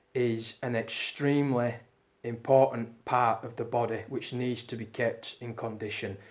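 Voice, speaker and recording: Medium-pitched male speech, monotone with a flat intonation. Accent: British. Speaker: strength training youtuber. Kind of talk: Q&A video monologue. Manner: casual, many fillers.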